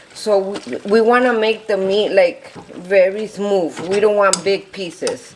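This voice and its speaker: Over noticeable background noise, a woman with a Spanish accent speaks at a fairly slow pace in a medium pitch with fairly even intonation. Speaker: home cook. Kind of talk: cooking tutorial. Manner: casual, slightly halting.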